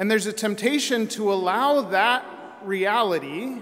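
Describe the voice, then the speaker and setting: Here a man with a high pitch speaks at a fairly slow pace, his pitch varying in an ordinary way. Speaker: priest. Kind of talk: sermon. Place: church. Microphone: podium.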